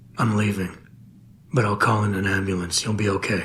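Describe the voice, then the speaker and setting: A man puts on a raspy character voice at a fairly low pitch. He talks at a fairly quick pace with monotone, flat intonation. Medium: video game. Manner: low, calm, measured.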